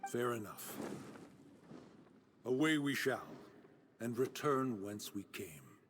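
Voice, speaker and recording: In a put-on character voice, a man speaks at medium pitch and a fairly slow pace, leaving long, frequent pauses. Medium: video game. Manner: formal, archaic.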